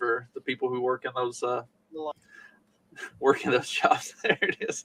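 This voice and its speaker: Speaking in a strong Southern US accent, a man keeps a moderate pace. The sound is dry and close, with no echo. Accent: thick Southern US. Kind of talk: casual chat.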